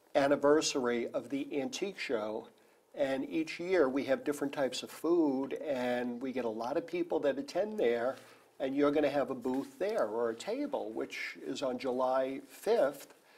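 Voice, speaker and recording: A man's fairly high voice at a moderate pace, an unremarkable speaking voice with ordinary pitch variation. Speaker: talk show host. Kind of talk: TV interview host talk. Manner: upbeat.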